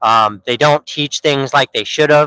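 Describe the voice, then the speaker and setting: With an American accent, a fairly high-pitched man speaks in a bright, sharp tone, the sound dry and close with no echo. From Oregon. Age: 30s. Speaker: livestreamer. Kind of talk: casual chat. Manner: animated.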